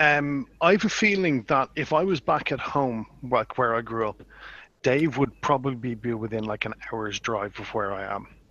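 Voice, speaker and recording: A man's medium-pitched voice carries lively intonation as he talks at a moderate pace. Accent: Dublin. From Ireland, Dublin. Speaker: YouTuber. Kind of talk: casual chat.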